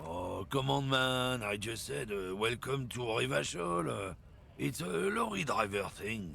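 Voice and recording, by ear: Over clear background noise, a man does a raspy put-on character voice in a French accent, fairly low in pitch with very wide pitch swings, at a fairly slow pace.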